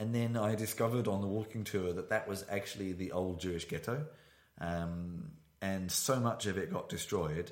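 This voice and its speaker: With a British accent, a man speaks at a fairly low pitch and with ordinary pitch variation. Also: moderate pace. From Britain. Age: 30s. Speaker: podcast host. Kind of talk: casual chat. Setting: studio, shared single microphone. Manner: halting.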